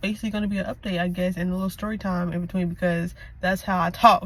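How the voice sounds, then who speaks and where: Medium-pitched, somewhat breathy speech from a woman, the intonation fairly even. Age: 20s. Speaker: lifestyle vlogger. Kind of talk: casual vlog monologue. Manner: fast; halting, self-correcting.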